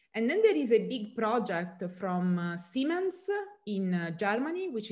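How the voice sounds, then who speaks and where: Over a quiet background, a woman with an Italian accent speaks at a moderate pace. Her voice is somewhat breathy, with very wide pitch swings. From southern Italy. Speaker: chemistry professor. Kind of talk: interview. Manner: halting, many fillers. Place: home room. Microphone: webcam.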